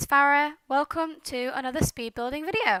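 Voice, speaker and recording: A woman speaks at a moderate pace with a British accent, her high-pitched voice bright and sharp in tone. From Britain. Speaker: gaming YouTuber. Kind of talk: casual commentary over gameplay. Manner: hesitant, with many fillers. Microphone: headset mic too close, popping, no pop filter.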